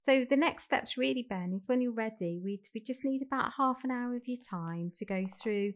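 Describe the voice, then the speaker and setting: With a Birmingham accent, a woman speaks in lively intonation against a quiet background. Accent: Brummie. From Birmingham, England. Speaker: fostering recruitment manager. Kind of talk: role-play phone enquiry.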